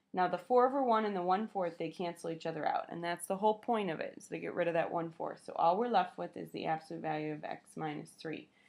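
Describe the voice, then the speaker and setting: A woman with a fairly low voice talks at a very fast pace with hardly any pauses, her loudness swinging widely while her pitch varies in an ordinary way. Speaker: math teacher. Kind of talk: lecture.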